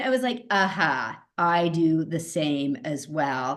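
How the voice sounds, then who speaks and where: A woman speaks loudly. Her pitch swings very widely. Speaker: psychotherapist and nurse. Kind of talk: interview conversation.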